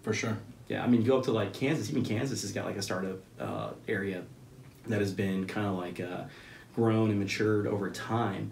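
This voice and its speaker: A man with an American accent, fairly low-pitched with vocal fry, at a fairly quick pace with fairly even intonation, in audible room echo over light background noise. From Central Texas. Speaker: business owner and military veteran; podcast guest. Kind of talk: casual interview. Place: meeting room.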